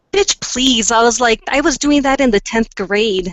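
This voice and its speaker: A woman with a plain, everyday voice, fairly high in pitch, with ordinary pitch variation. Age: 40s. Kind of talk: casual chat.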